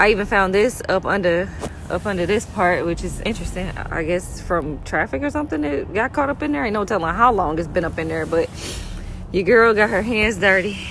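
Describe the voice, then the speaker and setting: A woman at medium pitch and a fairly quick pace, with lively intonation and noticeable background noise. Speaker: DIY car hobbyist. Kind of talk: casual talk to camera. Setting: outdoors.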